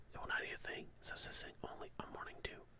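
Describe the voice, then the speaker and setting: Whispering at a fairly quick pace, a man is heard over noticeable background noise. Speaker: ASMR creator. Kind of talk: ASMR Pokedex reading. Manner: soft-spoken, relaxing.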